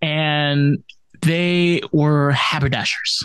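A man speaks with a fairly high pitch. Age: 20s. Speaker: podcast host. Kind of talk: casual chat.

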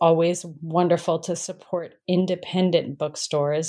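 In an American accent, a woman talks at a moderate pace in a normal speaking voice with medium pitch. The recording is very clean, with a silent background. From New Mexico, US. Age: 50s. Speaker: author. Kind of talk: interview.

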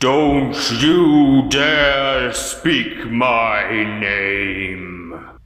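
A man's put-on character voice at a medium pitch, with a clear echo. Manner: threatening, commanding.

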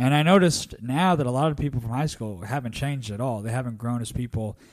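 A normal speaking voice with lively intonation at a fairly quick pace, on a very clean recording against a silent background. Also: man. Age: 20s. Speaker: stand-up comedian. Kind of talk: casual chat.

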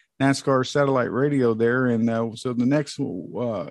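Against a quiet background, a man with an American accent speaks at medium pitch with ordinary pitch variation. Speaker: motorsports podcast co-host. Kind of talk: casual chat. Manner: hesitant, many fillers.

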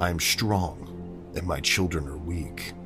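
With clear music in the background, a man does a gruff, put-on character voice at a very deep, low pitch. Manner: menacing, spooky.

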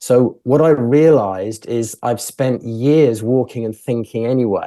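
Against a quiet background, a man with a British accent speaks at a fairly slow pace and medium pitch, his dark, mellow tone paired with fairly even intonation. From England. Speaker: filmmaker. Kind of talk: interview. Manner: halting, many fillers and repeats.

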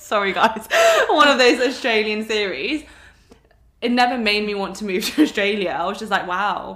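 The speaker talks at a moderate pace with an English accent and ordinary pitch variation. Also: woman, fairly high pitch for a woman. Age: 20s. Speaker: podcast host, wellness coach. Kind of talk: casual chat.

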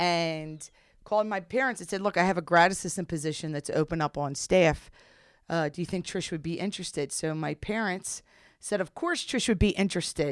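Fairly low in pitch, a woman with an unremarkable speaking voice talks at a fairly quick pace with ordinary pitch variation, on a very clean recording with a silent background. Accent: American. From US, South Jersey. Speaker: women's college basketball head coach. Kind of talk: interview.

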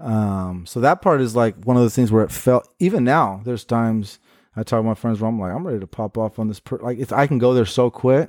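A man with an American accent at medium pitch, very fast pace and big swings in loudness, dry and close with no echo, on a very clean recording with a silent background. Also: ordinary pitch variation. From Portland, Oregon, US. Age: 30s. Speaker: social worker. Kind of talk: casual chat.

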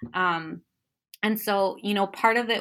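A woman with an American accent talks with a bright, sharp tone and ordinary pitch variation. The recording is very clean, with a silent background. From Chicago, US Midwest. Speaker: professor and author. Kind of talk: interview about her book.

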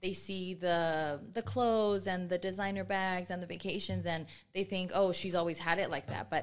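A woman with fairly low pitch speaks at a moderate pace, with ordinary pitch variation. She has an unremarkable speaking voice. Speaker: nonprofit chapter president. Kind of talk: casual chat. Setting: studio.

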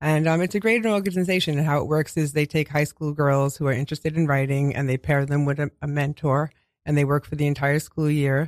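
With a New York accent, a man speaks at a fairly quick pace in a fairly high voice, his intonation fairly even and his loudness very even, in a dry, close, echo-free and very clean recording with a silent background. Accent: New York (Queens). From Queens, New York City. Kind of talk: radio interview, with poem reading. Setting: radio studio.

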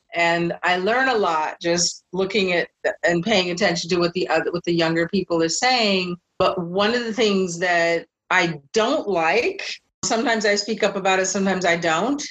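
A woman with an American accent speaks in a normal speaking voice at medium pitch. Her loudness is very even, her pitch varies an ordinary amount, and her pace is moderate. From US Pacific Northwest, Seattle. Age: 60s. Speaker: memoir author. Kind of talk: interview.

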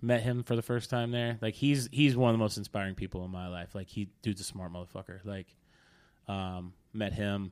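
A man's normal speaking voice at a fairly quick pace, with ordinary pitch variation, in a very clean recording with a silent background. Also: fairly low pitch for a man. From Oklahoma. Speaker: DJ. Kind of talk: casual chat. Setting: studio.

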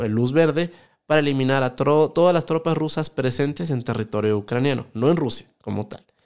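This man has a normal speaking voice with ordinary pitch variation. He talks at a fairly quick pace. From Ecuador, Quito. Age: 20s. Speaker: economist and YouTuber. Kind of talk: podcast interview.

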